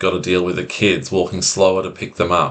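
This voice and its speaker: Calm in tone, a man speaks at a moderate pace in a very deep, low pitch. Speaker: anxiety recovery coach. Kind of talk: self-help talk to camera.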